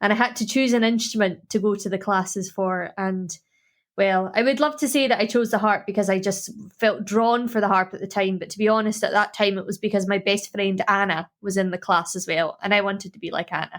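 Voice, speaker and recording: With a Scottish accent, a woman talks at a fairly quick pace and medium pitch with fairly even intonation, on a very clean recording with a silent background. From Scotland. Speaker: harp player. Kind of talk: introducing a music track; interview chat. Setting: podcast interview.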